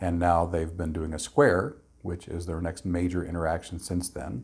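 The voice is somewhat breathy, with fairly even intonation. It moves at a fairly quick pace. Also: man. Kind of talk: explanatory talk to camera. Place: home room.

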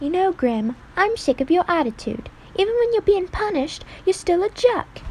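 An extremely high-pitched put-on character voice at a moderate pace, over clear background noise. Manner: defiant, annoyed.

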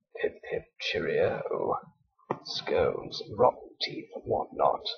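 A put-on character voice with a British accent drawls very slowly at an extremely high, raspy pitch. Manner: comic, exaggerated.

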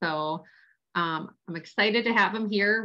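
Against a quiet background, a woman's medium-pitched voice has a bright, sharp tone. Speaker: occupational therapist and online business founder. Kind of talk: casual introduction. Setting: video call.

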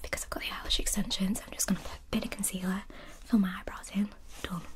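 Whispering and soft-spoken, a woman talks over light background noise. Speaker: ASMR creator. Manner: soft, close ASMR whisper.

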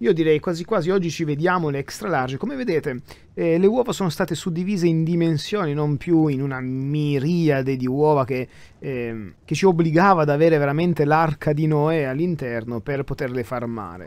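On a very clean recording with a silent background, a man talks at a fairly quick pace in a fairly high voice with ordinary pitch variation. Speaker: gaming YouTuber. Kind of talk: gameplay commentary. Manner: soft-spoken; halting.

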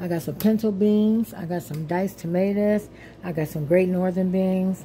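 There is light background noise as a woman speaks with ordinary pitch variation. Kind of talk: casual cooking tutorial. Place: kitchen. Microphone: phone near.

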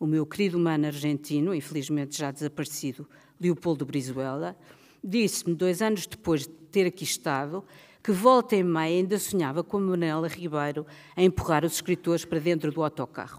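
This woman's pitch is very deep and low. She talks at a fairly quick pace against a quiet background. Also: ordinary pitch variation. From Portugal. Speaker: writer and book editor; writer on festival panel. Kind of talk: prepared speech read aloud. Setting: stage with audience. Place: stage. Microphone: podium.

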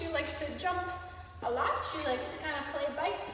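A woman talks at a fairly quick pace with light background noise and strong room echo. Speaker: dog trainer. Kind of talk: casual explanation to camera. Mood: cheerful, relaxed. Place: hall. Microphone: camera far.

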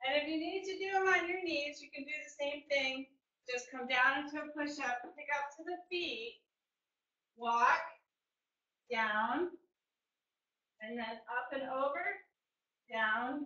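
In a quiet background with audible room echo, a woman uses a raised, projected voice at a high pitch, moving at a fairly slow pace with long, frequent pauses and big swings in loudness. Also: ordinary pitch variation. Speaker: fitness instructor. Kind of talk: live online group fitness class, cueing exercises. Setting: online video class. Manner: upbeat, encouraging, brisk rhythmic cues with counting; clear and instructive, praising with 'good'. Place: home room. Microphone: webcam.

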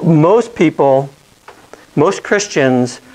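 This man talks with lively intonation. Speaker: bible class teacher. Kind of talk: lecture. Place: classroom.

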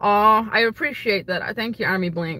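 Her bright, sharp voice comes at a moderate pace, and the woman's recording sounds dry with no echo. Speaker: streamer answering viewer questions. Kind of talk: casual livestream Q&A chat. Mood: friendly, relaxed. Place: car. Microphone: phone near.

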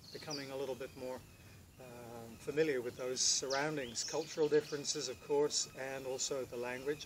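A man talks at a moderate pace with medium pitch and fairly even intonation over noticeable background noise. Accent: British. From Britain. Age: 50s. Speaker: professional house sitter. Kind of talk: self-introduction to camera. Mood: calm, friendly, earnest. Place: garden.

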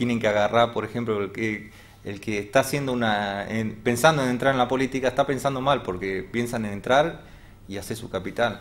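Speaking at a fairly quick pace, a man shows ordinary pitch variation and big swings in loudness. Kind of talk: interview answer. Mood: frank, critical of politicians. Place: studio.

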